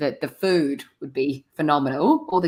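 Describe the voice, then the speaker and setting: Recorded very cleanly against a silent background, a woman with a New Zealand accent speaks at a very deep, low pitch. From New Zealand, small regional area. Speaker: community radio co-host. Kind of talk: casual radio chat.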